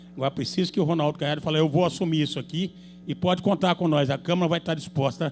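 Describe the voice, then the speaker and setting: This man talks very fast in a fairly high pitch with vocal fry and ordinary pitch variation. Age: 70s. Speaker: city councillor. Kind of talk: public hearing speech. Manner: animated.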